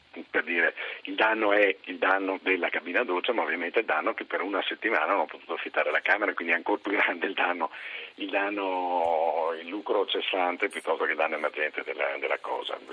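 Talking at a very fast pace, a man with a very deep, low pitch keeps his intonation fairly even. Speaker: hotel industry representative. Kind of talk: radio interview.

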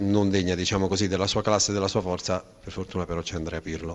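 A man's fairly low voice, flat and monotone, at a very fast pace. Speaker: radio sports reporter. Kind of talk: post-match interview. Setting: stadium press position.

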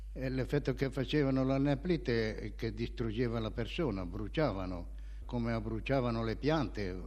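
A man talks at a moderate pace, and room echo is audible. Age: 80s+. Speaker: war veteran. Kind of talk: testimony. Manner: halting.

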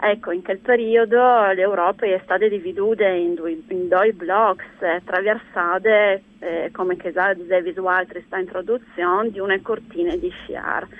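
A woman's unremarkable speaking voice at a medium pitch, a fairly slow pace and hardly any pauses. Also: fairly even intonation. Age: 50s. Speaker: nature conservation network leader. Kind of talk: radio interview. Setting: phone call.

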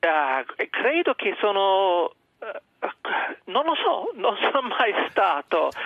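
In an English accent, a man speaks at a very slow pace with a high pitch, very wide pitch swings, and very even loudness. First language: English (speaking Italian). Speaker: journalist. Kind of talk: radio interview. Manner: halting.

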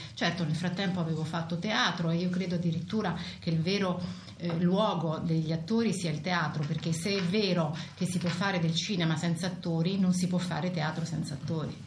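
Amid noticeable background noise, a woman with a fairly low pitch speaks at a fairly quick pace, her intonation flat and monotone and her loudness very even. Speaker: interpreter. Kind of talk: simultaneous interpreting of an interview.

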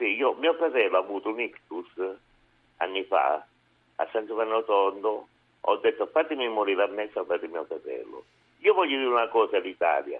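A man at a fairly quick pace, broken by long, frequent pauses. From southern Italy, Manfredonia (Foggia, Apulia). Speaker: caller. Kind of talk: phone-in call. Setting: phone call.

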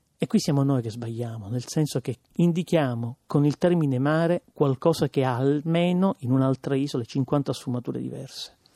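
A man with a Palermo accent, fairly high pitch, dark, mellow tone, moderate pace, hardly any pauses and ordinary pitch variation, in a dry, close sound with no echo against a quiet background. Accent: Sicilian, Palermo. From Sicily, Palermo. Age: 30s. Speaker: writer and theatre performer. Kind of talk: radio interview.

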